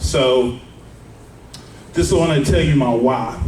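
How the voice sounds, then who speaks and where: Over noticeable background noise and audible room echo, a man talks at a medium pitch and moderate pace with ordinary pitch variation. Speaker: life insurance broker. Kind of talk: seminar talk. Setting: live audience without mic. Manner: loud; casual, filler-heavy. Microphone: no microphone.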